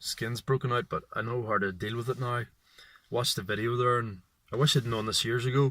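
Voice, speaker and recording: A man speaks in a medium pitch with a bright, sharp tone. The recording is very clean, with a silent background. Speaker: vlogger. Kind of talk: casual vlog monologue. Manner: halting, hesitant speech.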